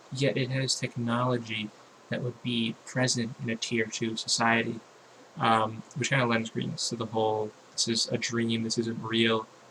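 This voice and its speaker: A man is speaking with fairly even intonation. Noticeable background noise can be heard. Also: medium pitch for a man, moderate pace. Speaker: YouTube commentator. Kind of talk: casual vlog monologue. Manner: halting, many fillers and repetitions.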